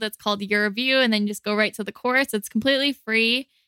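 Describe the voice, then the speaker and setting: Her fairly high voice is bright and sharp in tone, flat and monotone in intonation, and recorded dry and close with no echo. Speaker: habit coach and brain training teacher. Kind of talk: casual chat with memory tips. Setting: recording in person in the same room.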